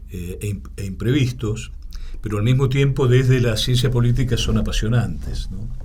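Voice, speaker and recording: A man at a medium pitch and moderate pace, ordinary pitch variation, an Argentine accent, noticeable background noise and audible room echo. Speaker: political science professor. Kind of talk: interview. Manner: hesitant, many fillers.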